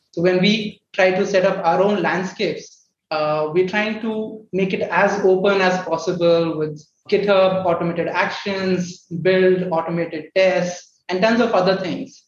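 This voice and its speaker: With audible room echo around him, a man speaks at a high pitch and a fairly slow pace with fairly even intonation. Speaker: startup co-founder, software developer. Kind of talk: panel discussion.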